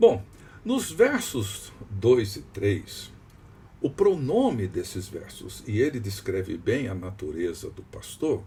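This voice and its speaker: Long, frequent pauses break up a man's speech at a very slow pace. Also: big swings in loudness. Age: 60s. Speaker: pastor. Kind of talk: devotional teaching.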